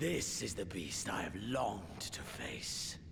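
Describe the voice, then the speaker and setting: Over loud background noise, a man whispers slowly in a put-on character voice with a theatrical tone. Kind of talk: video game villain acting. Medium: video game. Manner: grandiloquent, relishing, theatrical.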